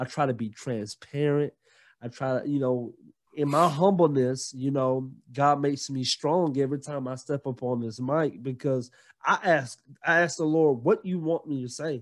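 Over a quiet background, a man with a fairly high voice and a Southern US accent speaks at a moderate pace with ordinary pitch variation. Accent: Southern US (Georgia). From US South, Gainesville, Georgia. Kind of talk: casual interview chat.

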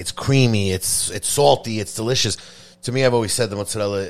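A man with an American accent talks at a fairly quick pace with ordinary pitch variation, in a very clean recording with a silent background. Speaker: podcast host and pizza maker. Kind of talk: casual interview chat. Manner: casual, unscripted.

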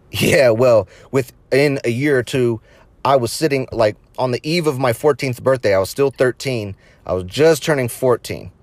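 A man talks at a moderate pace in a medium pitch with ordinary pitch variation. It is an ordinary speaking voice, in a dry, close sound with no echo, on a very clean recording with a silent background. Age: 30s. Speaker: podcast host. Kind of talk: casual monologue.

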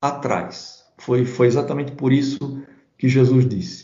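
A man is speaking. His pace is very slow. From southern Brazil, Santa Catarina (Blumenau). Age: 50s. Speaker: pastor and Bible commentator. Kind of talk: interview about theology. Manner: hesitant, with frequent repetitions.

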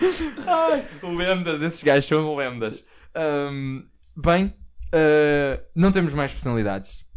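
A man at a fairly high pitch, speaking at a very slow pace with ordinary pitch variation. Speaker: podcast host. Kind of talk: casual chat. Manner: animated.

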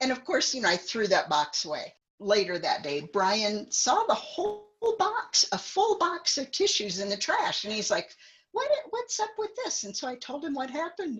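A woman's high-pitched voice with very wide pitch swings, over music in the background. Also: moderate pace. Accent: American. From US Midwest, central Illinois. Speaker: guest sharing life story. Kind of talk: casual chat.

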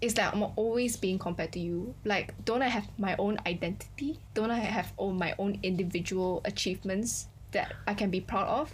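A woman speaks with vocal fry and ordinary pitch variation. Her loudness stays very even. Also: medium pitch for a woman, moderate pace. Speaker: podcast co-host. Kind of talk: casual chat.

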